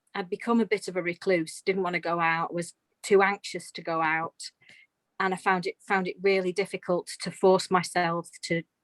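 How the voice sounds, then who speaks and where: At a moderate pace, a woman of medium pitch talks in a monotone, flat intonation with a dry, close sound and no echo. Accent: English Midlands. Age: 50s. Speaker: retired nurse, dog owner. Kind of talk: interview testimony.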